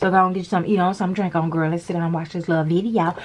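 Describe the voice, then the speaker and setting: A woman speaks at medium pitch in an animated tone. There is noticeable background noise behind her. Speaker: nail tutorial creator. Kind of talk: tutorial.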